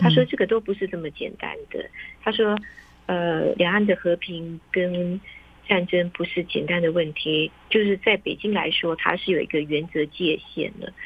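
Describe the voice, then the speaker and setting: A woman with a normal speaking voice talks at a moderate pace, fairly low in pitch, with fairly even intonation. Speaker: foreign correspondent reporting from Beijing. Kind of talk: interview. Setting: remote call.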